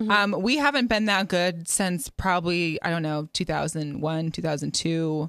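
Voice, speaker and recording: In an ordinary speaking voice, a woman with an American accent talks at a fairly slow pace and a fairly low pitch, with hardly any pauses. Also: ordinary pitch variation. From US Pacific Northwest (Seattle). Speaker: sports talk show host. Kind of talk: casual chat.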